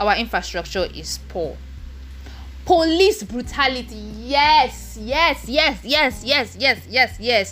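At a very slow pace, a woman speaks with a Nigerian accent. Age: 20s. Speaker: podcast host. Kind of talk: casual solo chat. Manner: halting, pausing to clear throat.

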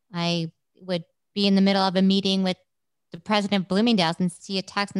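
A woman with a New York accent speaks fairly quickly at a medium pitch, her intonation monotone and flat. The sound is dry and close with no echo, against a quiet background. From New York City, Brooklyn. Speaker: rehab center founder. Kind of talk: interview.

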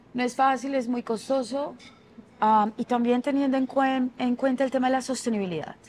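With music in the background, a woman speaks at a high pitch, her intonation fairly even and her loudness very even. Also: moderate pace. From Colombian Caribbean coast (Barranquilla). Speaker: fashion designer. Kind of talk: interview.

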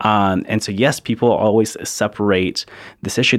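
A man speaks at a moderate pace with an American accent. His intonation stays fairly even. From Charleston, South Carolina (born Ciudad Juarez, Mexico). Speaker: immigrant rights activist. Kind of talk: interview. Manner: casual, many fillers.

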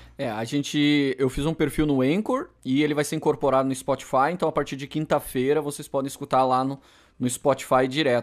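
A plain, everyday voice, speaking at a fairly quick pace with fairly even intonation. The recording is very clean, with a silent background. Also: man. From Rio Grande do Sul, southern Brazil. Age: 30s. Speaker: podcast co-host. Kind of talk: casual chat.

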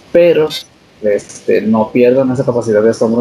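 A man at medium pitch and a moderate pace amid noticeable background noise. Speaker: podcast co-host. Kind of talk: casual chat.

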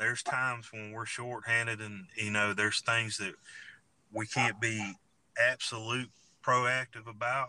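A man with a Southern US accent has a bright, sharp tone at a medium pitch. He keeps a moderate pace with monotone, flat intonation. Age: 40s. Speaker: sheriff candidate and law enforcement officer. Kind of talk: interview. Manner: halting, repeats words.

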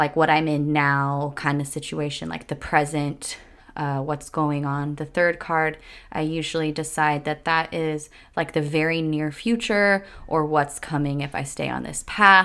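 A woman speaks at a very deep, low pitch in a monotone, flat delivery. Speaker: podcast host and yoga teacher. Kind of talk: solo podcast monologue with guided meditation at the end. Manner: warm, casual, chatty.

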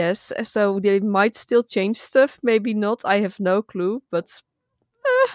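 In a Dutch accent, a woman is talking. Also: dry, close sound with no echo. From Netherlands. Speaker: gaming content creator. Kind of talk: casual chat.

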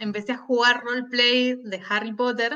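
A woman speaks at a fairly slow pace. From Argentina, Buenos Aires. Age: 30s. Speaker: writer and teacher. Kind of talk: interview conversation.

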